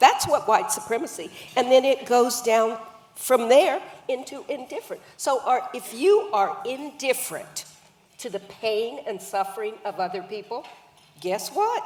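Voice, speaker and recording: Over noticeable background noise, a woman with a high pitch speaks at a fairly slow pace, with very wide pitch swings and big swings in loudness. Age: 70s. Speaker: author and anti-racism activist. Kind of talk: panel conversation.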